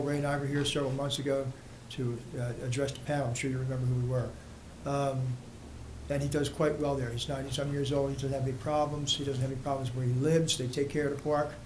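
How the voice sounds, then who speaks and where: Very fast, monotone, flat speech with noticeable background noise and audible room echo. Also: man. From South Jersey. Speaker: resident speaking at public comment. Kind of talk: public comment at municipal meeting. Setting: township committee meeting.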